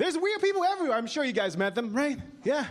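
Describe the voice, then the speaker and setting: This man talks very fast. His words come over noticeable background noise. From Taiwan, raised in Vancouver, Canada. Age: young. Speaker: stand-up comedian. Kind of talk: stand-up.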